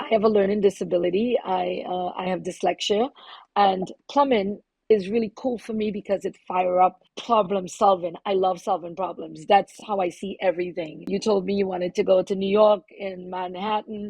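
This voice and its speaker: Her intonation fairly even, a woman of medium pitch talks at a moderate pace. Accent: Trinidadian. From Trinidad and Tobago. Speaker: plumber and activist. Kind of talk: podcast interview.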